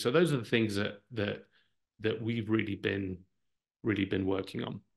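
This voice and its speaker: In an English accent, a man with a fairly low pitch and vocal fry speaks with fairly even intonation. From Brazil. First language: Portuguese. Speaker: marketing executive. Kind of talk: interview answer.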